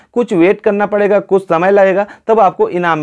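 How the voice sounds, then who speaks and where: A man talks at a fairly slow pace in a high voice. His pitch varies in an ordinary way, and the background is quiet. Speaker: tech channel host. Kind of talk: tutorial. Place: home room. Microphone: lapel.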